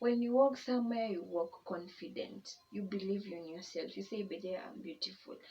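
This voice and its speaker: Speaking at a moderate pace with hardly any pauses, a woman has a somewhat breathy voice, a dark, mellow tone, medium pitch and ordinary pitch variation. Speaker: YouTuber. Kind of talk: personal testimony vlog. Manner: casual, conversational.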